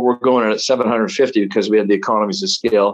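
Against a quiet background, a man with a plain, everyday voice speaks at medium pitch with ordinary pitch variation. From Canada, Toronto. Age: 60s. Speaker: travel entrepreneur and ski racer. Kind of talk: interview storytelling.

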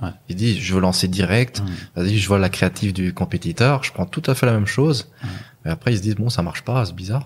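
A man with a fairly low, somewhat breathy voice talks fairly quickly, his pitch varying in an ordinary way. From Luxembourg. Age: 20s. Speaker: e-commerce entrepreneur. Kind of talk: casual chat. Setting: at the hosts' home.

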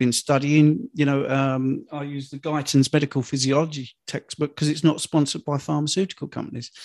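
Recorded dry and close with no echo against a quiet background, a man uses a normal speaking voice, fairly high in pitch, at a fairly quick pace. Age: 50s. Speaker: health and fitness coach. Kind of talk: interview.

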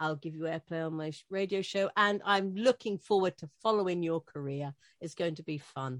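Speaking at a moderate pace in a British accent, a woman with a fairly low pitch and ordinary pitch variation swings widely in loudness, the sound dry and close with no echo. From Britain. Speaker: radio host. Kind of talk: interview.

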